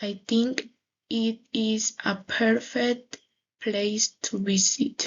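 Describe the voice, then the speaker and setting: This somewhat breathy voice moves at a very slow pace with ordinary pitch variation. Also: woman. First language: Spanish. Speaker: English language student. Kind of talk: class presentation. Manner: halting.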